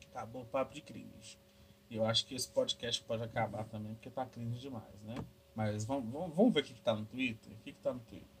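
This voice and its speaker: Noticeable background noise sits behind a man who speaks at a medium pitch and a fairly quick pace, his loudness swinging widely. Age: 20s. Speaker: podcast host. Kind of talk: casual solo monologue. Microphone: laptop recording, noisy audio.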